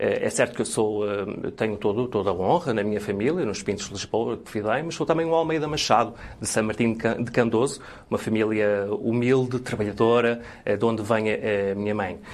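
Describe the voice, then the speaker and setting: This man speaks at a medium pitch with ordinary pitch variation. His pace is moderate. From Portugal, Guimarães area. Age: 40s. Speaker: local election candidate. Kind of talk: interview. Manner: halting.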